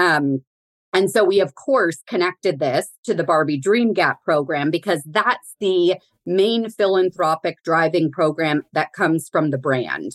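A woman with an American accent and an ordinary speaking voice talks at a fairly slow pace and a fairly low pitch, with ordinary pitch variation. Her loudness stays very even, and the sound is dry and close with no echo. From Southern California, Pasadena area. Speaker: corporate philanthropy executive. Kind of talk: casual interview.

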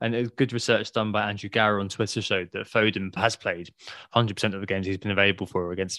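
Over a quiet background, a voice with an English accent rushes along at a very fast pace, bright and sharp in tone with fairly even intonation. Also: man. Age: 30s. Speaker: fantasy football podcast host. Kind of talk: casual chat. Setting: at home.

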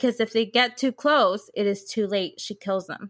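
Speaking at a moderate pace, a woman with an unremarkable speaking voice keeps a fairly high pitch and ordinary pitch variation. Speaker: podcast co-host. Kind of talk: casual chat.

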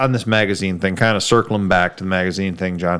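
An American accent over background music. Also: man. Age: 40s. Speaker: car podcast host. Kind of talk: casual chat.

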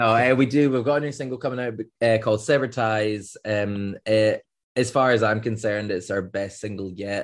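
Against a quiet background, a man talks at a moderate pace and medium pitch with fairly even intonation and hardly any pauses. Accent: Scottish. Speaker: band member, songwriter. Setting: podcast interview.

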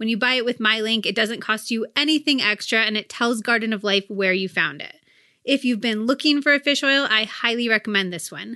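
A woman talks at a fairly quick pace with a fairly high pitch and ordinary pitch variation. Her tone is bright and sharp, the sound dry and close with no echo, and the background quiet. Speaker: podcast host and cookbook author. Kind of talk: casual interview.

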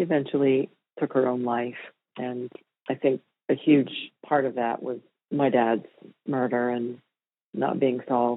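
This woman has a very deep, low pitch and a monotone, flat delivery. She speaks at a fairly slow pace with long, frequent pauses. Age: 50s. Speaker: murder victim's daughter. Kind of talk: interview testimony.

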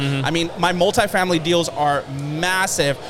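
A man with a high voice speaks at a fairly quick pace. Noticeable background noise runs under him. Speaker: real estate entrepreneur and motivational speaker. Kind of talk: interview. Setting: studio.

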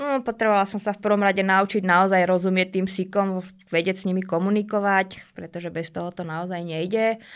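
A woman speaks in an ordinary speaking voice at a medium pitch and a fairly quick pace, with fairly even intonation. The recording is very clean, with a silent background. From Slovakia, Bratislava. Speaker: dog trainer. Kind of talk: interview. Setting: studio.

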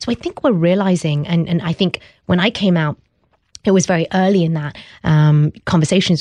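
In a British accent, a woman speaks at a fairly low pitch with ordinary pitch variation and a dark, mellow tone. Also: dry, close sound with no echo. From England. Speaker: startup founder. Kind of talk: interview. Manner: hesitant, many fillers.

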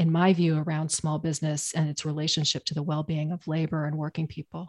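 Speaking at a fairly quick pace, a woman with an American accent has a fairly low pitch and a dark, mellow tone. The background is quiet. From Maine, US (Portland). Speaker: policy researcher and advocate. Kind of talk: interview.

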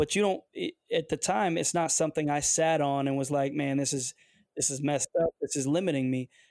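A man with an American accent talks at a fairly quick pace and fairly high pitch with fairly even intonation. The sound is dry and close with no echo, on a very clean recording with a silent background. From Detroit area, US. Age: 40s. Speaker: football coach and former pro athlete. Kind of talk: interview conversation. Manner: hesitant, with fillers.

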